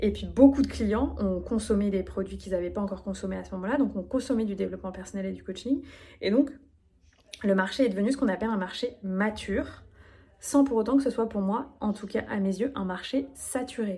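A woman's medium-pitched voice with a dark, mellow tone and vocal fry, at a fairly quick pace with ordinary pitch variation. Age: 30s. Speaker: business coach. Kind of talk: solo podcast monologue.

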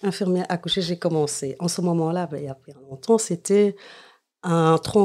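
On a very clean recording with a silent background, a woman with a dark, mellow tone speaks at a moderate pace with ordinary pitch variation. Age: 50s. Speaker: nurse. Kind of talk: interview.

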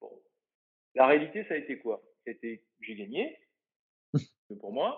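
There are big swings in loudness as a man talks at a very slow pace. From Brittany, France. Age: 50s. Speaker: bodybuilder and naturopath. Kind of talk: interview conversation.

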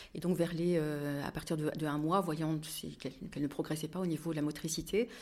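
Very deep and low, a woman's voice holds a flat, monotone intonation at a moderate pace. The recording is very clean, with a silent background. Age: 50s. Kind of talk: testimony. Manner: halting.

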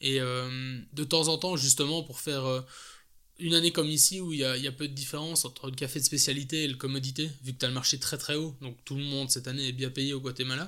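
Very fast and monotone, a man with a Belgian accent speaks in a bright, sharp tone at a fairly high pitch, in a very clean recording with a silent background. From Belgium. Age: 30s. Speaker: coffee importer. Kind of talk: casual interview. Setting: at home.

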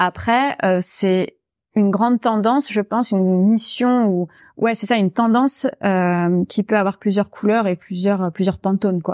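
A woman talks fairly slowly at a medium pitch with ordinary pitch variation. The sound is dry and close with no echo, over a quiet background. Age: 30s. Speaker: narrative coach and storytelling trainer. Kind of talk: podcast interview. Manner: animated.

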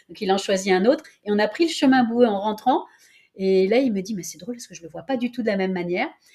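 The speaker races along at a very fast pace with lively intonation, big swings in loudness, a somewhat breathy quality, and a dark, mellow tone. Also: woman, fairly high pitch for a woman. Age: 60s. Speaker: professional coach. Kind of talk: interview.

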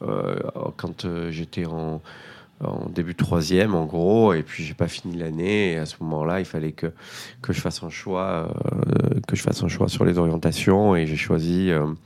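A man's very deep, low voice at a fairly slow pace, fairly even in intonation, with noticeable background noise. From Marseille, northern districts, southern France. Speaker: restaurant entrepreneur. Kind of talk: interview testimony. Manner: halting, many repetitions and fillers.

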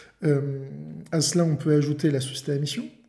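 Amid audible room echo, a man's fairly high voice sounds somewhat breathy, with a dark, mellow tone. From France, La Rochelle. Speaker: lawyer and podcast host. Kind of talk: interview.

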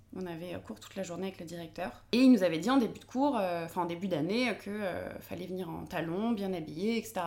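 A dark, mellow tone with ordinary pitch variation carries through audible room echo. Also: woman. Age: 20s. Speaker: podcaster and feminist content creator. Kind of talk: casual interview. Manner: halting, many fillers.

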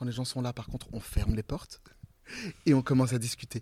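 A man's dark, mellow voice at a medium pitch, fairly quick in pace and fairly even in intonation, with a dry, close sound and no echo. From central France (Limousin). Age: 40s. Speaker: playwright, director and actor. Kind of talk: interview.

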